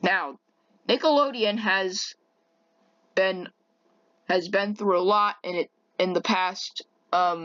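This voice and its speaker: Her pace is very slow, broken by long, frequent pauses. The woman's pitch varies in an ordinary way. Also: medium pitch for a woman. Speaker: YouTuber. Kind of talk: rant monologue. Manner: halting, many repetitions.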